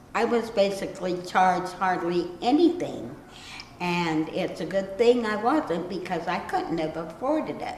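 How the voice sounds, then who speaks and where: The speech moves at a fairly slow pace. Audible room echo and noticeable background noise surround it. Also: woman. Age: 60s. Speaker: self-published author. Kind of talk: interview talk. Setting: library.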